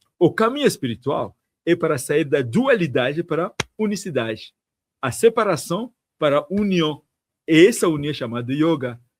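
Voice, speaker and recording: The speaker has an African accent and a moderate pace. Their pitch swings very widely. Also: man, fairly high pitch for a man. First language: African language (speaking Portuguese). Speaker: tantric monk. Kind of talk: interview conversation.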